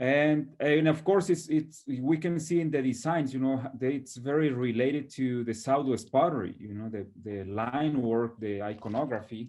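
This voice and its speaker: Speaking at a moderate pace with a Mexican accent, a man uses a medium pitch and ordinary pitch variation. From northern Mexico. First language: Spanish. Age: 30s. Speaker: potter. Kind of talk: interview. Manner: halting.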